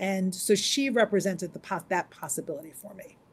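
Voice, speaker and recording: A woman with an American accent talks in an ordinary speaking voice. Her pitch is medium. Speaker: rabbi. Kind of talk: interview.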